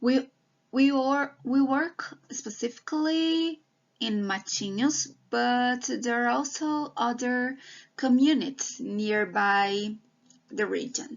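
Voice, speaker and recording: A woman's high voice at a very slow pace. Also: ordinary pitch variation. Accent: Brazilian Portuguese. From Brazil. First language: Portuguese. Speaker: PhD student researcher. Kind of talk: online presentation. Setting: video call with screen share. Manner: hesitant, with fillers and restarts.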